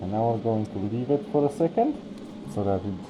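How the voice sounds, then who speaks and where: Music runs in the background while the speech unfolds at a moderate pace. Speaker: miniature painter. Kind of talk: tutorial. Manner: casual.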